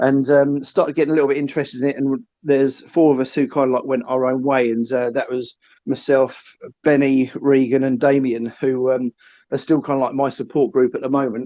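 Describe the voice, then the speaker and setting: This man speaks with a southern English accent at a medium pitch. His delivery is fairly quick, with monotone, flat intonation. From south coast of England. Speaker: live streamer. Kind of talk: podcast interview. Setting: phone call.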